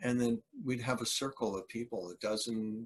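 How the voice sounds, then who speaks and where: A man at medium pitch, moderately paced, with ordinary pitch variation. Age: 60s. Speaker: Hare Krishna devotee and musician. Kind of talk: casual interview. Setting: video call.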